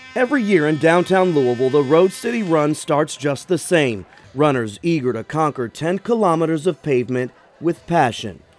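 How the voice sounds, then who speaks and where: Over music in the background, a man with an American accent speaks at a moderate pace, his fairly high pitch carrying lively intonation. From American, Kentucky. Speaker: news anchor and reporter. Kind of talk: news feature voiceover.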